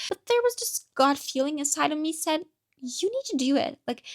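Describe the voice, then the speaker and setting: A woman with a non-native accent speaks at a fairly quick pace. The sound is dry and close, with no echo. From Turkey. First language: Turkish. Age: 20s. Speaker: vlogger. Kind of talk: personal monologue. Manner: halting.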